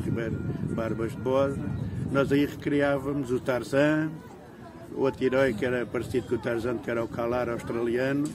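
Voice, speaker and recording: A man speaks at a medium pitch. Noticeable background noise and audible room echo surround him. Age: 60s. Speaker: local resident interviewee. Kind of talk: interview reminiscence. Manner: halting, many fillers.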